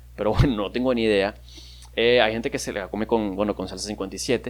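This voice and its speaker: Here a man speaks at a fairly low pitch and a fairly quick pace. His pitch variation is ordinary. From Venezuela, Maracaibo. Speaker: podcaster. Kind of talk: casual monologue. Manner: animated.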